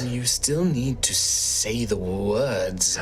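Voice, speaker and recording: A soft-spoken man doing a put-on character voice, with clear background noise. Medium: actual play. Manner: cryptic, calm.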